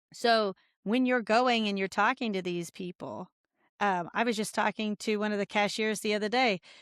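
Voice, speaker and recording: With a Midwestern American accent, a woman talks at a moderate pace and a fairly high pitch. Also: dry, close sound with no echo. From Indiana, rural. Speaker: congressional candidate. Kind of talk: casual interview. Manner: animated.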